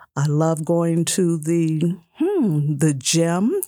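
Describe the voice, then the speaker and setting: Heard on a very clean recording with a silent background, a woman speaks with a very deep, low pitch and a dark, mellow tone. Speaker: author and memory care director. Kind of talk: radio interview.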